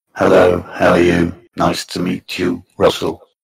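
A man puts on a robotic, raspy character voice with very deep, low pitch. He talks at a moderate pace. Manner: robotic, processed.

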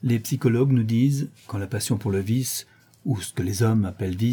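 Ordinary pitch variation within a natural reading voice.

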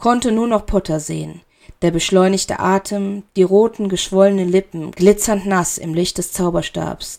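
Reading done in an unforced voice

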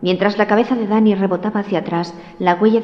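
Words read aloud, plainly

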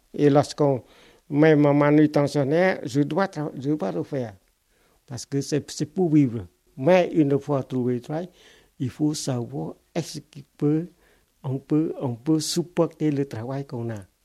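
In a very clean recording with a silent background, a man with a Cambodian accent speaks very slowly in a dark, mellow tone at a fairly high pitch, leaving long, frequent pauses. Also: ordinary pitch variation. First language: Khmer (speaking French). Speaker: refugee and former literature teacher. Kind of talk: life-story testimony interview. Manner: halting, with many repetitions.

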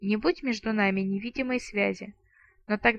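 What you hear is an unforced reading voice. Nothing else stands out.

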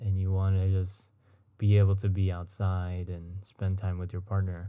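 The man's voice sits at a fairly low pitch with a dark, mellow tone. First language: Spanish. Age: 20s. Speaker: podcast host. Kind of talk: solo casual podcast. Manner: rambling with filler words.

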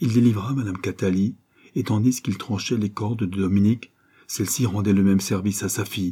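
It is delivered in a natural reading voice.

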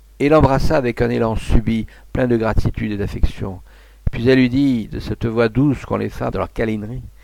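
A natural reading voice, with pitch rising and falling by ordinary amounts

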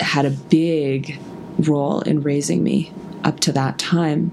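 Over noticeable background noise, a woman speaks in a very deep, low pitch with ordinary pitch variation. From Russia (Moscow). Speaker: podcast host. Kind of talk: solo podcast monologue.

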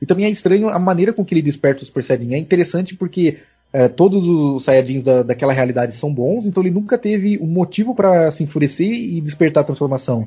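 A man's fairly high voice at a very fast pace, lively intonation and hardly any pauses, with music in the background. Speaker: podcast co-host. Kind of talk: casual chat.

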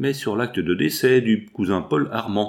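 Pitch shifts in an ordinary way here. The text is read aloud in a natural voice.

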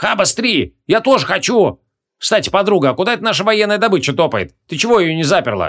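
A man puts on a character voice, high-pitched with a fairly bright tone. He talks at a fast pace with big pitch swings. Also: very clean recording, silent background.

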